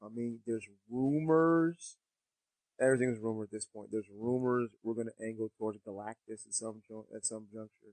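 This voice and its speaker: An ordinary speaking voice: a man at medium pitch and moderate pace. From US Northeast. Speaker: podcast co-host. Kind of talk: casual chat.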